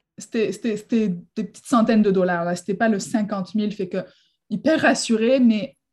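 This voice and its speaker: On a very clean recording with a silent background, a woman talks somewhat breathily at a fairly slow pace with fairly even intonation. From southern France, near Marseille. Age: 30s. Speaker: real estate broker. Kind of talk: interview.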